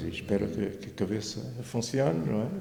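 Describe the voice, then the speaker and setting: A man speaks with very wide pitch swings. Audible room echo surrounds his voice. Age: 70s. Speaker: retired librarian and local historian. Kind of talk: interview. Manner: halting.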